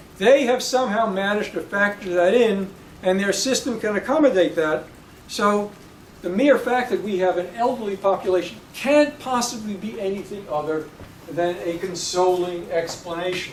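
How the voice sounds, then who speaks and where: A man's high-pitched voice at a moderate pace, with ordinary pitch variation, audible room echo and noticeable background noise. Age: 70s. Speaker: professor. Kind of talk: lecture. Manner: halting.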